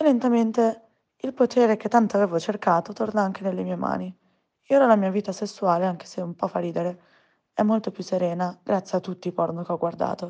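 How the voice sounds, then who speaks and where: Set against a quiet background, a dark, mellow voice moves at a fairly quick pace with ordinary pitch variation. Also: woman. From provincial Italy. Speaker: listener sharing personal story. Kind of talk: testimony.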